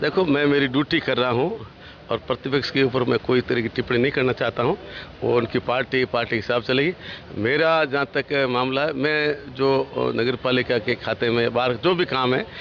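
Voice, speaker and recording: A man's medium-pitched voice with fairly even intonation and very even loudness, over noticeable background noise. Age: 70s. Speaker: state minister. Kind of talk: interview.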